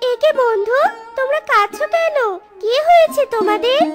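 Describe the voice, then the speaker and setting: Faint music plays behind a cartoonish character voice pitched extremely high. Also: moderate pace. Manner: caring.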